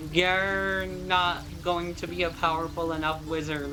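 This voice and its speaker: Moderate pace in an American accent, with audible room echo. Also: woman. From US South. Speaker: vtuber streamer. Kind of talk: casual game stream commentary. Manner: slurred, loose enunciation.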